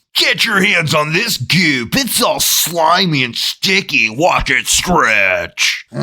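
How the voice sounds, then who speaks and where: A put-on character voice at a very slow pace. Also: man, fairly high pitch for a man. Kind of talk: hyped, salesy. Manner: enthusiastic, retro.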